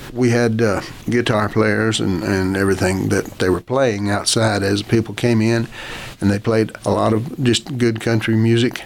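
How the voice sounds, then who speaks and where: A man at medium pitch and moderate pace, fairly even in intonation, with noticeable background noise. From Oklahoma. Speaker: advertising executive and author. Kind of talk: casual interview. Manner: halting.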